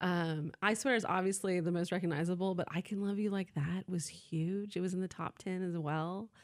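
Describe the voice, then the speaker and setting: With an American accent, a woman talks in a plain, everyday voice at medium pitch and moderate pace, her intonation fairly even, hardly pausing at all, in a very clean recording with a silent background. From US South, Atlanta, Georgia. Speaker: university arts events representative. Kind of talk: radio interview.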